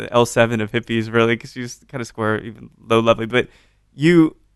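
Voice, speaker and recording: A man's unremarkable speaking voice, medium in pitch, at a fairly quick pace with fairly even intonation and big swings in loudness. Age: 30s. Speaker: podcast host. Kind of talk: casual interview.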